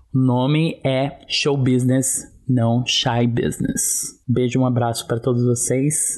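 Here a man of medium pitch speaks at a fairly slow pace, with hardly any pauses. His loudness is very even and his intonation flat and monotone. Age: 20s. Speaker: dancer and life coach. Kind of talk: personal testimony.

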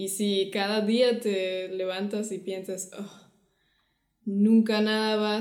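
A woman with a German accent speaks very slowly at a medium pitch in a monotone, flat delivery, with audible room echo. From Germany. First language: German (speaking Spanish). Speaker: podcast co-host. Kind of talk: casual chat.

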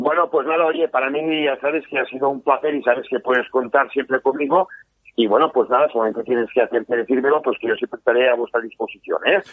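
A very fast-talking man with a fairly high pitch. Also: ordinary pitch variation. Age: 50s. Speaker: politician. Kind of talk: interview. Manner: halting.

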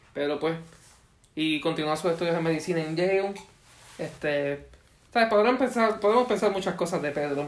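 A man's high voice at a moderate pace, with ordinary pitch variation and long, frequent pauses. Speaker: podcast co-host. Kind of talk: casual chat.

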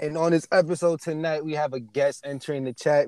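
With an American accent, a man speaks fairly quickly at a fairly high pitch. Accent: Americanized, urban American. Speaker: podcast host. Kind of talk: casual chat.

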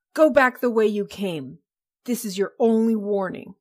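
A woman performs a put-on character voice at a fairly high pitch. She keeps a moderate pace. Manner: warning, hostile.

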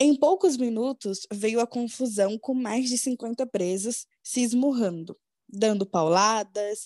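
Very slow speech from a woman of fairly high pitch with ordinary pitch variation, over a quiet background, with a dry, close sound and no echo. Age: 20s. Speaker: podcast co-host. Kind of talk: true crime narration.

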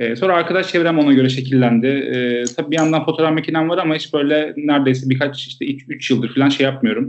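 With ordinary pitch variation, the man races along at a very fast pace. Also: fairly high pitch for a man, hardly any pauses. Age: 20s. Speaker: street photographer and public health field worker. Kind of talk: casual interview chat.

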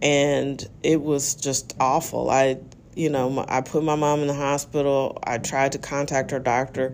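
A woman speaks at a fairly slow pace with a very deep, low pitch and monotone, flat intonation. Noticeable background noise runs underneath. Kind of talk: solo podcast monologue. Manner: casual, conversational.

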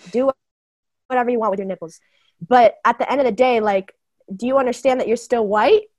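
A woman's high voice at a very fast pace, broken by long, frequent pauses, with ordinary pitch variation and a dry, close sound with no echo. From Bulgaria. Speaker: visual artist and screenwriter. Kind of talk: casual chat.

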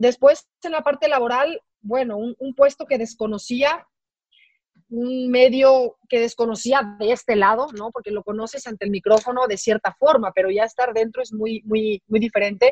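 A woman's fairly high voice at a moderate pace, with ordinary pitch variation and big swings in loudness, dry and close with no echo. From Mexico. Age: 40s. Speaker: sports executive and former TV sportscaster. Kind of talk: interview. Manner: halting, frequent repetitions.

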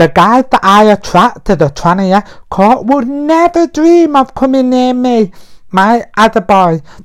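A man with a British accent, extremely high-pitched for a man, with very wide pitch swings at a fairly slow pace. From UK. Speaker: podcast host. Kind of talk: casual monologue. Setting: in bed at home. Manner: put-on feminine voice.

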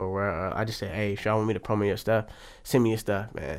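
The recording is very clean, its background silent. On it, a man talks very fast. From Oakland, California. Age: 20s. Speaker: podcast guest, aspiring food show creator. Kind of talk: casual chat.

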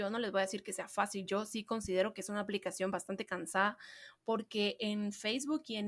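A woman speaks at a moderate pace in an animated tone, her pitch fairly high. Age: 20s. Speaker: marketing podcast host. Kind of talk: solo podcast talk.

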